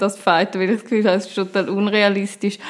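The speaker is a woman. Her pitch is medium. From rural canton of Zurich, Switzerland (Stammheim). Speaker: politician, city councillor and software developer. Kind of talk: interview. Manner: hesitant, with fillers.

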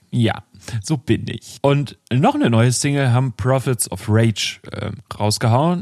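With ordinary pitch variation, a man's speech unfolds at a very slow pace. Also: medium pitch for a man, dry, close sound with no echo. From northern Germany. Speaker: music podcast co-host. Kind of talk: casual chat. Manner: halting, many fillers.

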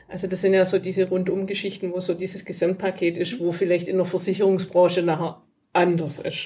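A woman with a medium pitch talks at a fairly quick pace in a dark, mellow, somewhat breathy tone with monotone, flat intonation. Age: 40s. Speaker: business owner of electrical installation firm and coach. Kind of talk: casual interview. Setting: in person at guest's office.

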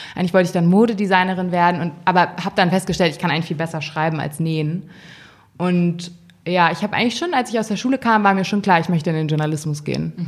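Fairly low in pitch, a woman rushes along at a very fast pace with ordinary pitch variation. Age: 20s. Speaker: fashion editor. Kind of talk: interview. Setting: magazine office.

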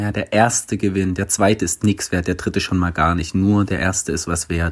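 Fairly even intonation holds throughout speech delivered at a moderate pace. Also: man. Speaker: podcast host. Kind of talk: casual chat.

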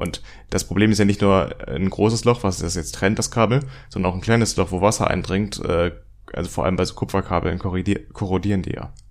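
On a very clean recording with a silent background, a man with a very deep, low pitch speaks at a fairly quick pace and with fairly even intonation. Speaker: podcast host, student. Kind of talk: scripted narration; casual chat. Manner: less raspy voice than co-host.

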